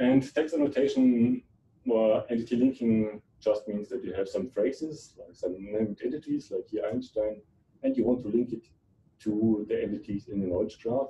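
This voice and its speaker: Against light background noise, a man with a German accent speaks at a moderate pace. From Germany. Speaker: computer science researcher. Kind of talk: lecture. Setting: seminar room with audience. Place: hall.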